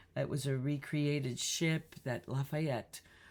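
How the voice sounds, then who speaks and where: A woman talks at a fairly slow pace. The recording is very clean with a silent background. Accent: Chicago. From Chicago. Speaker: singer. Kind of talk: casual talk to camera.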